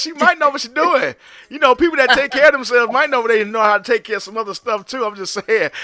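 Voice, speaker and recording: A man speaks in a raised, projected voice at a very fast pace, his tone animated and his intonation lively. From rural US South. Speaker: talk show host. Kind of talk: casual interview chat.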